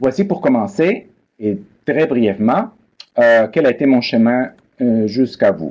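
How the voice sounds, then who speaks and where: In a Spanish accent, a man speaks at medium pitch with very wide pitch swings and very even loudness. His pace is fairly slow, broken by long, frequent pauses. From Peru. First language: Spanish (speaking French). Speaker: biblical studies professor. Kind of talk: lecture. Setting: online seminar. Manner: formal.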